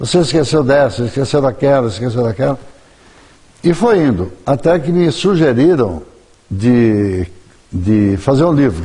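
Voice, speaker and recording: Pausing long and often, a man talks at a fairly slow pace and a medium pitch, his intonation lively and his loudness very even. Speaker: journalist and writer. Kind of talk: TV interview.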